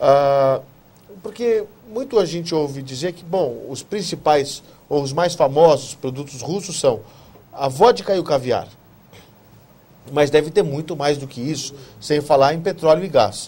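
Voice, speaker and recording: A man talks at a fairly slow pace with lively intonation, his pitch fairly high and his tone dark and mellow. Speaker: TV talk show host. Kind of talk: TV interview.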